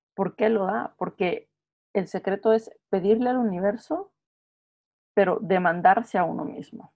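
A woman talks at a fairly slow pace in a medium pitch with ordinary pitch variation. It is a normal speaking voice. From Guatemala. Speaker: podcast co-host. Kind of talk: casual chat.

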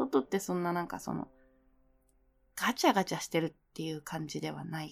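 A woman speaks in a relaxed tone. The recording is very clean, with a silent background. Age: 30s. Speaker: web radio host. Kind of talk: casual solo talk while drinking. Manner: relaxed, frequent laughter.

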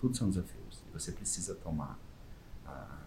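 A man's dark, mellow tone with vocal fry, at a moderate pace. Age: 40s. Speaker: volunteer costumed superhero, NGO founder. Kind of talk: interview.

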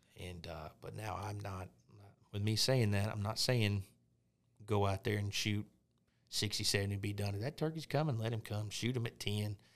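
A man with a fairly low voice speaks in an Arkansas accent at a moderate pace, with ordinary pitch variation. He pauses long and often on a very clean recording with a silent background. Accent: Southern US (Arkansas). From Arkansas, Pine Bluff (South Central). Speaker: hunter. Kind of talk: casual chat.

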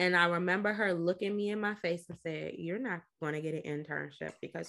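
A woman speaks at a moderate pace with an unremarkable speaking voice. Her pitch is fairly low. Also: very clean recording, silent background. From Washington, D.C. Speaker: psychologist and mental health advocate. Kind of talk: podcast interview.

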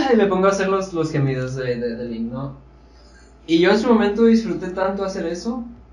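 The recording has audible room echo. A man speaks at a high pitch. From Sonora, Mexico. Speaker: TikToker. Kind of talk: casual chat.

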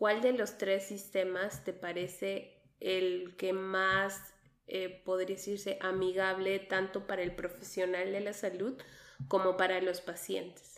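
A woman's very slow speech at a medium pitch, in a monotone, flat intonation. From Peru. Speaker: nurse and podcast host. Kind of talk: interview podcast.

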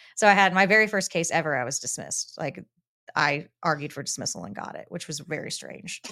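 A woman with an American accent talks at a very fast pace in a bright, sharp tone, fairly low in pitch, with vocal fry. Her intonation is lively, her loudness swings widely, and the recording is very clean with a silent background. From Texas, Dallas-Fort Worth. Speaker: lawyer. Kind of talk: interview conversation.

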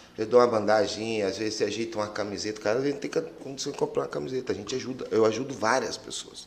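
The man's voice is at a medium pitch. Audible room echo surrounds it. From Mato Grosso do Sul, Brazil (Campo Grande, Pantanal). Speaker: Muay Thai coach. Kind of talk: casual chat.

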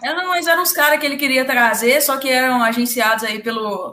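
A woman's raised, projected voice, high-pitched and bright and sharp in tone, with lively intonation at a fairly quick pace. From Minas Gerais, Brazil. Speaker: football fan channel co-host, physics student. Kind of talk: casual chat.

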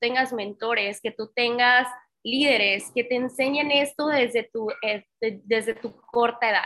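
Speaking at a fairly slow pace, a woman with a high pitch and a bright, sharp tone uses ordinary pitch variation. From Tamaulipas, northern Mexico. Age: 30s. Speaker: network marketing trainer. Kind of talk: motivational training webinar. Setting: online live session with chat. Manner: animated.

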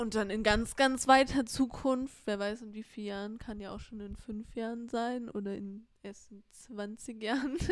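Fairly high female voice at a fairly slow pace with hardly any pauses, fairly even intonation, big swings in loudness and noticeable background noise. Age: 20s. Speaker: podcast co-host, sells inherited art. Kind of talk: casual chat.

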